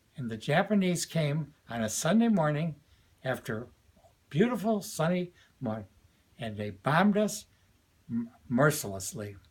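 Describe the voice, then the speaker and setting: A man speaks with very wide pitch swings at a fairly high pitch. His voice is somewhat breathy, broken by long, frequent pauses. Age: 80s+. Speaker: retired educator and commentator. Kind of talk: political and religious commentary to camera.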